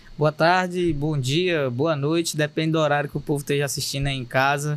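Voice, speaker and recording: The speech comes at a fairly quick pace in a Cearense accent. The intonation stays monotone and flat. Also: man, fairly high pitch for a man. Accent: Cearense Brazilian Portuguese. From Fortaleza, Ceará, Brazil. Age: young. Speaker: state deputy and content creator. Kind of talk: podcast interview answer. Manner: direct, popular.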